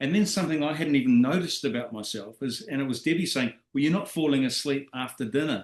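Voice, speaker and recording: Lively in intonation, a man of fairly high pitch speaks with an unremarkable speaking voice. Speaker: network marketing presenter. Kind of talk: business presentation. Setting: video call.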